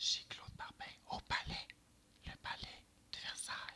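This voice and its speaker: Someone whispers at a fairly slow pace. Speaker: ASMR reader. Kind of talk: introduction to camera. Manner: whispered.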